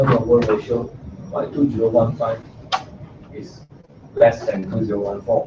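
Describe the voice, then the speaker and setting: A man keeps his intonation fairly even as music plays in the background. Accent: non-native. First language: not English. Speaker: student presenting assignment. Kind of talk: class presentation and discussion. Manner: halting.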